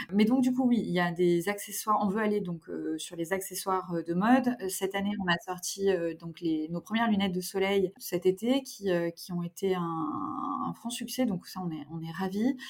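A woman talks at a moderate pace and medium pitch, with ordinary pitch variation. There is noticeable background noise. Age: 30s. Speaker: fashion brand co-founder. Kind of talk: interview. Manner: halting.

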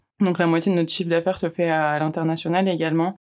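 In a very clean recording with a silent background, a woman speaks in a fairly low voice with monotone, flat intonation. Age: 20s. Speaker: international mobility officer. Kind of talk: interview.

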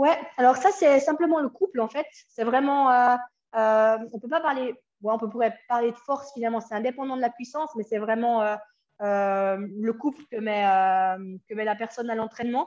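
A woman's high-pitched voice with a slight Swiss French accent, ordinary pitch variation, a moderate pace and long, frequent pauses. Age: 30s. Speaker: cycling coach and former racer. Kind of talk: interview conversation.

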